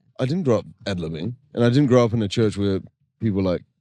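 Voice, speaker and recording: Delivered at a very fast pace in a New Zealand accent, the voice has a dark, mellow tone and ordinary pitch variation. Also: man. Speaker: singer-songwriter, worship band co-founder. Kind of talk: casual interview chat. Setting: podcast recorded at a festival. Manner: animated.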